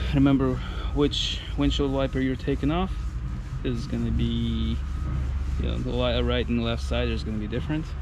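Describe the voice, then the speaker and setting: Against noticeable background noise, a man with a very deep, low pitch speaks in a monotone, flat way, the sound dry with no echo. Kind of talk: tutorial. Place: open country. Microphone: phone near.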